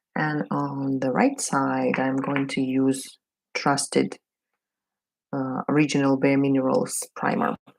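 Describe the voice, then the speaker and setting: A woman with a Russian accent speaks at a very slow pace, with long, frequent pauses. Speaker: beauty vlogger. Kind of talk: casual get-ready-with-me chat. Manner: halting, many fillers.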